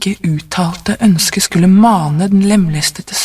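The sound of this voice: The reading voice is unforced. Pitch moves with ordinary variation.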